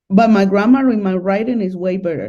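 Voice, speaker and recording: A woman's dark, mellow voice at a medium pitch, with a Spanish accent. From Colombia, Medellin. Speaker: guest on dating channel. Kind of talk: casual interview.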